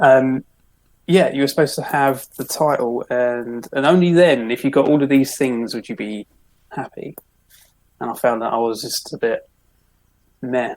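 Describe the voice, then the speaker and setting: Speaking with a London accent, a man at a medium pitch keeps a moderate pace with ordinary pitch variation and long, frequent pauses. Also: dry, close sound with no echo. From London, Croydon. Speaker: minimalist author. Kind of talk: podcast interview.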